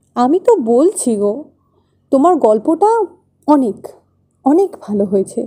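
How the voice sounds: In a put-on character voice, a woman speaks at a fairly slow pace in a high pitch with a dark, mellow tone and big pitch swings.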